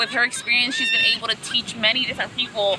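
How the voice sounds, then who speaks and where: The speaker has a Spanish accent, heard over noticeable background noise. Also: woman. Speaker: language student. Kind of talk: casual chat. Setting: outdoors at the beach.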